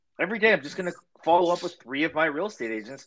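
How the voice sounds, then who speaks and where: A man speaks very fast with a Canadian accent. His tone is bright and sharp, and his pitch swings very widely. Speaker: podcast co-host. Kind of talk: casual interview.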